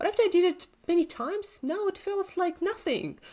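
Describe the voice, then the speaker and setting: The recording is very clean with a silent background as a woman talks at a moderate pace. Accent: Russian. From Siberia, Russia. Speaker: entrepreneur coach. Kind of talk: interview.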